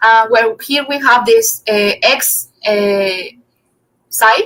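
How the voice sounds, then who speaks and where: A woman with a non-native accent talks in a fairly high voice, her tone bright and sharp and her intonation fairly even. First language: not English. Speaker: physics student presenter. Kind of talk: academic seminar talk. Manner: halting, many fillers.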